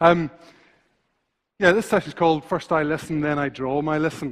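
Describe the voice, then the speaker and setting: A man speaks in a Northern Irish accent at a fairly high pitch. His pace is fairly quick. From Northern Ireland. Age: 40s. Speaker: visual thinker and illustrator. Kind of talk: conference talk. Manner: fast when passionate; halting, many fillers and repetitions.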